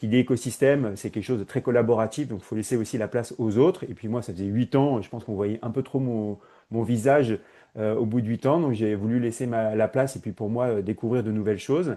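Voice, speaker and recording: He speaks with ordinary pitch variation. The tone is dark and mellow. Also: medium pitch for a man, fairly quick pace, quiet background. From Paris, France. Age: 40s. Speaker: HR innovation consultant. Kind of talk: podcast interview. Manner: hesitant, many fillers.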